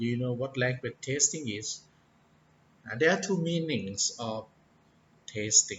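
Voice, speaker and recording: A man with a non-native accent speaks at a fairly slow pace. His intonation is lively, broken by long, frequent pauses. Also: medium pitch for a man. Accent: non-native English, far from perfect. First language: Thai. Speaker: English teacher. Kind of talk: tutorial talk. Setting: indoors, office. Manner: hesitant, many fillers.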